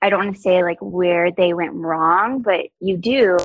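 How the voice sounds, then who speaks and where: A woman with an American accent speaks at a medium pitch, with a dry, close sound and no echo. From US South. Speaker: podcast guest. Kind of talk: casual interview chat. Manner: fast talker.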